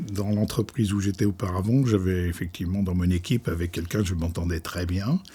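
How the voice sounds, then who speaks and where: A man speaks fairly quickly in a very deep voice, dark and mellow in tone. His intonation stays fairly even, and he sounds somewhat breathy. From France, Loire valley. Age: 70s. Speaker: company founder. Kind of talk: interview. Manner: halting, many fillers.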